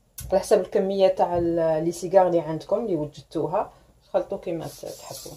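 Her voice has a dark, mellow tone. The speaker is a woman. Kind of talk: tutorial. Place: kitchen. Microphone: phone near.

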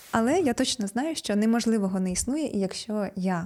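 A woman speaks at a moderate pace in a dark, mellow, somewhat breathy tone. Her pitch is medium with ordinary variation. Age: 30s. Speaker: self-development blogger. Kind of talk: vlog monologue.

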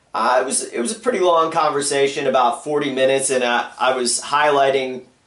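A man's voice with audible room echo against a quiet background. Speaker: caller. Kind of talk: phone conversation. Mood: earnest, complaining. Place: home room.

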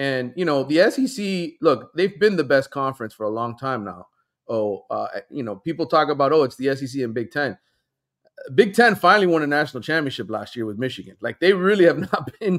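Very wide pitch swings from a man at a fairly quick pace, over a quiet background. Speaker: remote guest sports reporter. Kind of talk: interview answer. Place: home room. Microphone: headset.

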